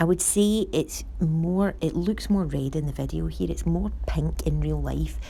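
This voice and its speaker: A woman with a Scottish accent speaks at a fairly slow pace with hardly any pauses. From Scotland. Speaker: nail technician. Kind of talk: product review voice over. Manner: calm, cheerful.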